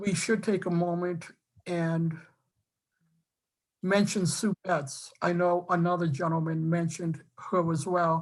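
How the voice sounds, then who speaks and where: Very slow, monotone, flat speech from a fairly low-pitched woman with an American accent. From Boston area, Massachusetts. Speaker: council candidate, former college professor. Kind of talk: public meeting self-introduction. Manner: halting, many fillers and restarts.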